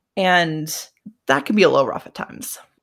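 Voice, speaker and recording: With an American accent, a woman speaks in an unremarkable speaking voice, fairly low in pitch and with fairly even intonation. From Colorado, US. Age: 30s. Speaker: podcaster. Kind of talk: casual chat. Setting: video call.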